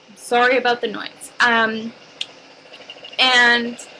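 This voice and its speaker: Amid noticeable background noise, a woman talks at a fairly high pitch. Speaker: makeup artist. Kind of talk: tutorial. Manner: casual, filler-heavy.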